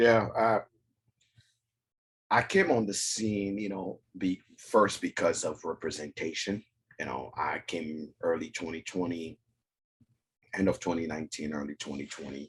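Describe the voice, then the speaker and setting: A man with an African accent speaks at a fairly slow pace and a very deep, low pitch, somewhat breathy. His loudness swings a lot, and he takes long, frequent pauses. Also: ordinary pitch variation. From West Africa. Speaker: whiskey content creator. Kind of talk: casual chat.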